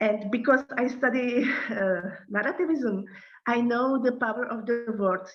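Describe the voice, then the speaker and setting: In a Czech accent, a woman speaks at a moderate pace and high pitch with ordinary pitch variation, and audible room echo surrounds her. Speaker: NGO director. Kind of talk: lecture. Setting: video call. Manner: halting.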